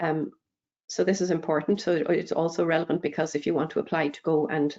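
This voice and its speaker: A woman with an Irish accent, very deep and low in pitch, fairly quick and fairly even in intonation. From Ireland. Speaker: EU research funding speaker. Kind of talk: webinar Q&A. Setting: online webinar.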